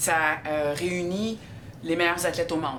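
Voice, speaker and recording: A Quebec accent amid noticeable background noise and audible room echo. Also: woman. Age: 60s. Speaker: CrossFit athlete. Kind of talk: documentary interview. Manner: hesitant, many fillers.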